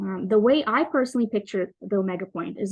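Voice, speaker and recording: A woman talks at a medium pitch with ordinary pitch variation. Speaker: conference presenter. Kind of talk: academic presentation. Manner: fast.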